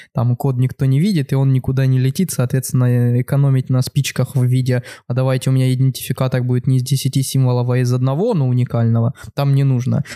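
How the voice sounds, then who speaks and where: This man speaks very fast at a medium pitch in a monotone, flat delivery, his tone dark and mellow, his loudness very even, and the sound dry and close with no echo. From Ukraine. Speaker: podcast host and conference program committee member. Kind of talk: casual chat. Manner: joking, informal.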